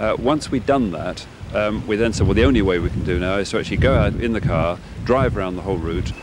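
Over noticeable background noise, a man speaks in a dry sound with no echo. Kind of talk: interview answer. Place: street. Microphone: handheld.

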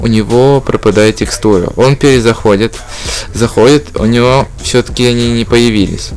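Over noticeable background noise, a man at a medium pitch speaks at a moderate pace with ordinary pitch variation and very even loudness. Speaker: gaming YouTuber. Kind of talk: casual gameplay vlog talk. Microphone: noisy microphone, broken 3.5 jack.

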